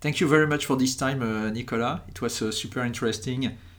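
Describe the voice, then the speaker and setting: A man with a French accent speaks with fairly even intonation. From France. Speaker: podcast host and company founder. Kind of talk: podcast interview. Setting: trade fair in Berlin.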